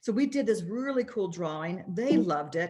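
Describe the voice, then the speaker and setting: Animated and somewhat breathy, a woman speaks at a fairly quick pace. Her intonation is lively. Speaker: sales executive presenting products. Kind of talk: sales presentation. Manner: fast.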